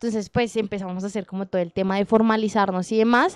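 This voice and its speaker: A dark, mellow tone with a dry, close sound with no echo, against a quiet background. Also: woman. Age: 20s. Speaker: women's rights organization director. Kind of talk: podcast interview.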